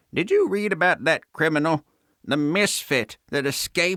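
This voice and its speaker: A man's put-on character voice, fairly high in pitch, at a moderate pace with ordinary pitch variation and a dry, close sound with no echo. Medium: read story. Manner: prim, genteel.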